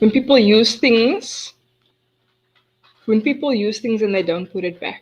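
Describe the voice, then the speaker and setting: A woman speaks at a fairly slow pace, fairly high in pitch and somewhat breathy. Her pitch variation is ordinary, with long, frequent pauses. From South Africa, Cape Town. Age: 20s. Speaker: theatre stage manager and lighting technician. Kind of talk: casual interview.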